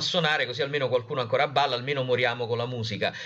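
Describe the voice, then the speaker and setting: Noticeable background noise accompanies speech delivered very fast. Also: man. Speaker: journalist and science communicator. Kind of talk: interview conversation. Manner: halting, many fillers.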